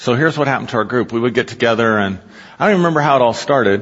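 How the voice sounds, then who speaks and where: The man's voice is medium in pitch. It rises and falls in an ordinary way. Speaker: pastor. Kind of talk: sermon. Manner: animated.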